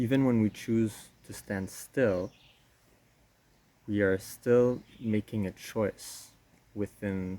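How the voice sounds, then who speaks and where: A man at a very slow pace, with a fairly low pitch, fairly even intonation and a dark, mellow tone. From Quebec, Canada. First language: French. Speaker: osteopath and spiritual teacher. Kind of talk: talk to camera on personal philosophy.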